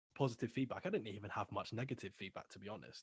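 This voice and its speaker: The voice carries a British accent and is somewhat breathy. Its intonation stays fairly even. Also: man. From England. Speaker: music label owner and ex-rapper. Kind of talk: interview, casual chat.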